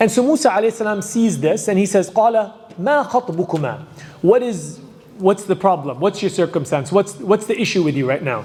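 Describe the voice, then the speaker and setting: A man with a high voice and lively intonation speaks over noticeable background noise. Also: moderate pace. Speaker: Islamic lecturer. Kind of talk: lecture. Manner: loud. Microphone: too quiet at first, then adjusted.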